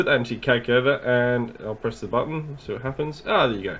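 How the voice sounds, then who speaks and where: There's a man here talking at a medium pitch with ordinary pitch variation. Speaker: physics teacher. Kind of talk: tutorial.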